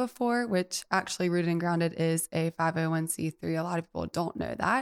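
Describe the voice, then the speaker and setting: A woman with an Alabama accent talks at a fairly low pitch. The sound is dry and close with no echo, in a very clean recording over a silent background. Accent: Southern US (Alabama). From US South, Mobile, Alabama. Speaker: coffee shop owner. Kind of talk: casual interview. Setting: studio.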